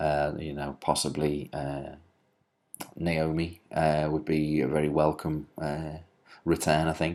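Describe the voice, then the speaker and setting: The speaker has a Liverpool accent. The tone of the voice is dark and mellow. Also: man. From Liverpool, England. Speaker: wrestling writer and commentator. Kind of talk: solo video commentary. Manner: hesitant, many filler words.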